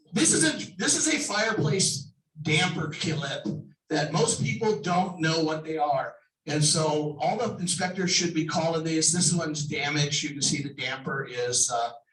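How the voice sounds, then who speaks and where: A man at a moderate pace amid audible room echo. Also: fairly high pitch for a man, ordinary pitch variation. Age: 60s. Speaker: home inspector and contractor. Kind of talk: sponsor presentation.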